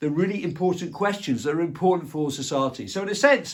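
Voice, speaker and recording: A man speaks at a very fast pace with a fairly high pitch. His intonation is lively. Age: 60s. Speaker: video commentator. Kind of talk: casual monologue. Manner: halting, with repetitions.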